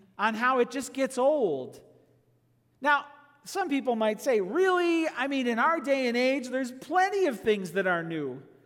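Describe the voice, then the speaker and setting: Over audible room echo, a man speaks at an extremely high pitch with lively intonation. His pace is fairly slow. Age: 40s. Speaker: pastor. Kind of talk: sermon. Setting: pre-recorded video.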